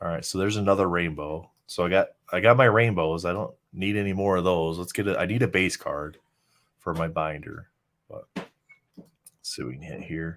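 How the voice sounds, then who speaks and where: In a very deep, low pitch, a man speaks at a moderate pace with big swings in loudness. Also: ordinary pitch variation. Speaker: trading card collector. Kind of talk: live pack opening chat. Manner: casual.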